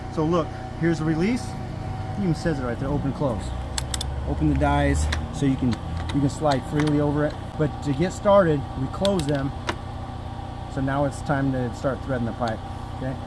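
Over music in the background, a man speaks with ordinary pitch variation and long, frequent pauses, the sound dry with no echo. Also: moderate pace. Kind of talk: tutorial. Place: street.

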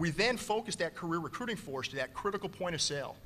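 A man talks at a very fast pace with a high pitch. His pitch variation is ordinary, and there is light background noise. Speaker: navy admiral, recruiting commander; panelist. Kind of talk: conference panel talk. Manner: animated, gestures a lot. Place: hall. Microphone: podium.

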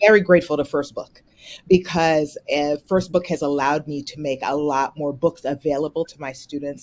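Her voice is low in pitch for a woman, with ordinary pitch variation.

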